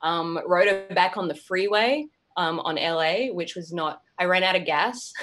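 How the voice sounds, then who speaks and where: With music playing in the background, a woman with an Australian accent speaks at a fairly slow pace, her medium pitch showing ordinary variation. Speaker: actress. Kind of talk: casual chat.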